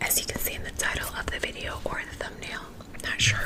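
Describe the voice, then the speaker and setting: Whispering with noticeable background noise. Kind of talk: ASMR close-up whispered self-help talk. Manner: whispered.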